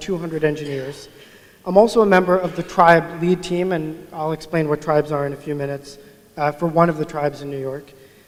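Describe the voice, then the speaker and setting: A man talks at a fairly quick pace in a fairly high pitch, his intonation fairly even, with noticeable background noise behind him. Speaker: agile coach, conference speaker. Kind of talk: conference talk. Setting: stage with audience. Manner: mumbling.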